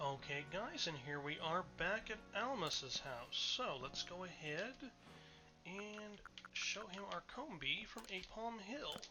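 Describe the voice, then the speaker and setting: Music can be heard behind the voice. The delivery is very slow. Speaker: video game let's player. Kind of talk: gameplay commentary. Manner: casual, hesitant with fillers.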